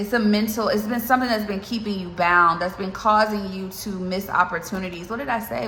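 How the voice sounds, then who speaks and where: Noticeable background noise and audible room echo fill the recording. A woman with a medium pitch speaks at a fairly quick pace. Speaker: tarot reader. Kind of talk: tarot reading. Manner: fast; animated.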